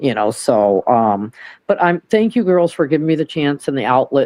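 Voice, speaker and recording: A woman's dark, mellow voice in an American accent, fairly quick in pace with lively intonation and a dry, close sound with no echo. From Michigan. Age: 50s. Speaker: caller. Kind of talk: casual chat. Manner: animated.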